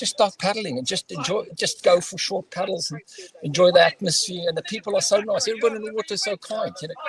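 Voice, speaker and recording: Talking at a very fast pace in an animated tone, a man with a high pitch shows ordinary pitch variation and big swings in loudness, his dry, close sound with no echo set against noticeable background noise. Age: 60s. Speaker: race paddler. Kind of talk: casual chat.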